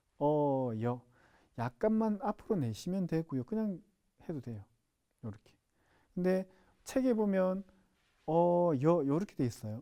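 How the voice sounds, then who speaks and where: A man with a Gyeongsang accent speaks at a fairly slow pace in a dark, mellow tone, his fairly high pitch swinging very widely. The recording is very clean with a silent background. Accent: Gyeongsang dialect pronunciation. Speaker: sign language instructor. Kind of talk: lecture. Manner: repetitive, drilling sounds aloud.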